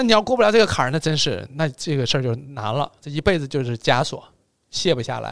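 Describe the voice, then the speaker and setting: Speech races along at a very fast clip with vocal fry. The pitch swings very widely. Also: man, fairly high pitch for a man. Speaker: podcast host. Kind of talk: casual chat. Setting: studio by a window on a cold snowy day.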